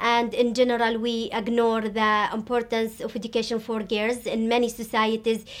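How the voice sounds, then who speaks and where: A woman's fairly high voice stays monotone and flat as she talks at a moderate speed. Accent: Arabic. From Syria. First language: Arabic. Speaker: education activist. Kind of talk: interview. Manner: halting, frequent fillers.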